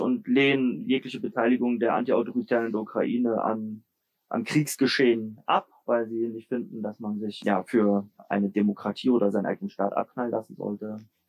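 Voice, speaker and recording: A man with a plain, everyday voice speaks at medium pitch and a moderate pace, in a dry, close sound with no echo. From Germany, Leipzig (Saxony). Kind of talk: interview.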